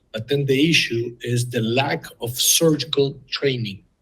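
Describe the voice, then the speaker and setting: Speaking at a fairly slow pace, a man with a medium pitch sounds somewhat breathy and keeps his intonation fairly even. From Uruguay. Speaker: ophthalmologist and surgical educator. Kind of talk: interview.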